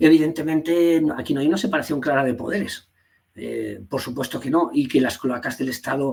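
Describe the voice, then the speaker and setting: The speaker is a man with an Asturian accent. His pitch sits fairly high. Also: ordinary pitch variation, fairly quick pace. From Asturias, Spain (Gijón). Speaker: party leader and teacher. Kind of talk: interview. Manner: halting, many fillers and repetitions.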